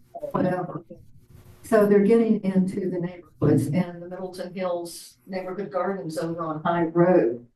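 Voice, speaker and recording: Quiet speech moves along at a moderate pace. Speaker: committee member. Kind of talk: committee meeting discussion. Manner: quiet, hard to hear.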